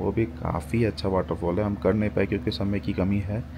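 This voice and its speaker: A man with a very deep, low pitch talks over noticeable background noise. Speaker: travel vlogger. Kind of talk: casual vlog chat. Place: street. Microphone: phone near.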